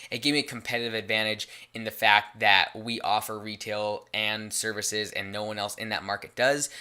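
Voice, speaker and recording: Fairly low in pitch yet bright and sharp in tone, a man talks at a fairly quick pace with monotone, flat intonation and hardly any pauses. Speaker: business podcast host. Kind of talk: solo podcast advice talk. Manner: casual, conversational.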